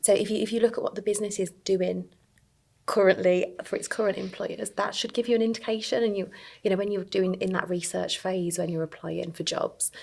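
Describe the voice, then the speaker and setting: A woman with a Birmingham accent speaks at a fairly quick pace. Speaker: early careers recruiter. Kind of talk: podcast interview.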